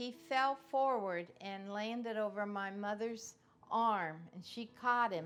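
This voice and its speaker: A woman's medium-pitched voice with a Midwestern American accent, very slow, ordinary pitch variation, music in the background. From Cincinnati, Ohio. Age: 80s+. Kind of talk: oral history interview answer.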